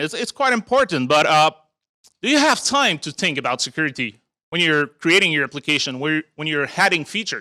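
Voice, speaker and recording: Bright and sharp in tone, a man with a French-Canadian accent talks at a fairly quick pace with lively intonation. The sound is dry and close, with no echo. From Quebec, Montreal. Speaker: technical evangelist, conference speaker. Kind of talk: conference talk. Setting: stage with audience. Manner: animated.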